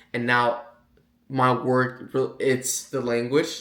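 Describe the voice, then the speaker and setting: A man speaks with a Puerto Rican accent. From Puerto Rico. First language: Spanish. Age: 20s. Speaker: online sales coach. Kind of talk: casual vlog monologue. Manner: halting, repeats words.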